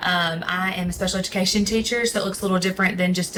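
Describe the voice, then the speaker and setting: Over noticeable background noise, a woman with a Southern US accent and a medium pitch speaks at a very fast pace with monotone, flat intonation. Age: 30s. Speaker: special education teacher. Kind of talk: interview. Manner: hesitant, many ums.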